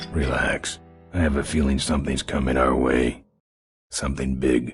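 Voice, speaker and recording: Doing a put-on character voice, a raspy man speaks very deep and low at a moderate pace, in a flat monotone and at very even loudness, with faint music in the background. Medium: video game. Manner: terse, gruff.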